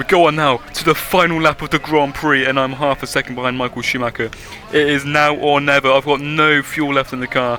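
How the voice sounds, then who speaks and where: A man talks fairly quickly at a fairly high pitch, with noticeable noise behind him. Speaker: gaming YouTuber. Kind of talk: gameplay commentary. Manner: animated; fast.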